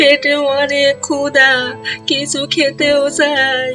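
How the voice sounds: A put-on character voice with a bright, sharp tone delivers monotone, flat lines at a slow pace, with faint music in the background. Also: woman, high pitch for a woman.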